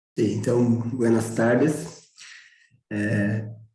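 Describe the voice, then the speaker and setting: A man talks at a very slow pace in a medium pitch with a dark, mellow tone. Room echo is audible. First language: Portuguese (speaking Spanish). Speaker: physical education program coordinator. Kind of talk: panel discussion.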